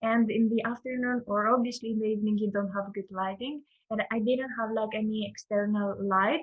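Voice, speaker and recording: Speaking with a Greek accent, a woman talks at a fairly quick pace with fairly high pitch and fairly even intonation. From Greece. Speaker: front-end developer and teacher. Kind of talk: casual interview chat.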